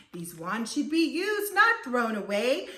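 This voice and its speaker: A woman's high, put-on character voice with very wide pitch swings at a moderate pace. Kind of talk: bedtime story. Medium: read story.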